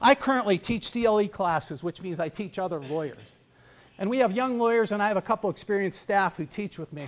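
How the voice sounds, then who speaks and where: A man with a high voice speaks at a fairly quick pace with lively intonation. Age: 60s. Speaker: guest speaker, attorney. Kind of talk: speech. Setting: high school honor society ceremony, audience. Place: hall. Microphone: podium.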